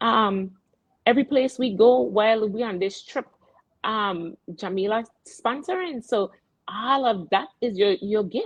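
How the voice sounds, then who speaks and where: In a Virgin Islands accent, a woman speaks with lively intonation and a fairly high pitch. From US Virgin Islands. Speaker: radio show host. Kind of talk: casual chat. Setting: live broadcast, remote. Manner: animated, halting.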